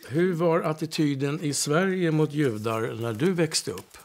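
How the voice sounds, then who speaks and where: Here a man talks with lively intonation at a moderate pace. His pitch is fairly high. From Stockholm, Sweden (Södermalm). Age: 60s. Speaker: interviewee sharing experiences. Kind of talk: casual conversation. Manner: halting, many hesitations.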